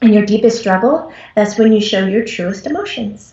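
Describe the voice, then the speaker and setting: A woman's fairly high voice comes through somewhat breathy. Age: 40s. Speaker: psychic medium. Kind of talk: trance channelling.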